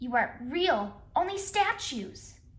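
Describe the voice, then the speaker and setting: A squeaky, put-on character voice at a fairly slow pace, with very wide pitch swings. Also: woman, high pitch for a woman. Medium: read story.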